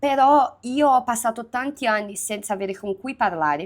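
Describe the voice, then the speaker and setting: A fairly high-pitched woman at a moderate pace, very clean recording with a silent background. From Minas Gerais, Brazil. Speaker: youtuber. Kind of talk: casual multilingual vlog. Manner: hesitant, many fillers in foreign languages.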